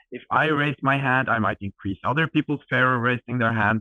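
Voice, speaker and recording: Talking at a fairly quick pace in a Norwegian accent, a man uses a medium pitch and ordinary pitch variation. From Norway. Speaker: edtech startup co-founder. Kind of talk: interview. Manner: animated.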